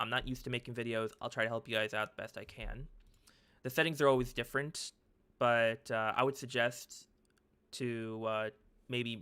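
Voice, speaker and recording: Over a silent background in a very clean recording, a man with a bright, sharp tone talks fairly quickly at a medium pitch, his intonation monotone and flat. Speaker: tech youtuber. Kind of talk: tutorial. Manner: halting, stuttering; casual.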